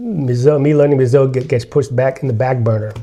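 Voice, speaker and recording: A man with an American accent speaks fairly quickly over noticeable background noise. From USA. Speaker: interviewee sharing family history. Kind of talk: casual interview. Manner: halting.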